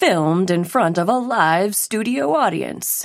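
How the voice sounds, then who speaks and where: Putting on a character voice, a woman speaks at a medium pitch for a woman. Her intonation is lively and her pace fairly slow. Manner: announcer voice.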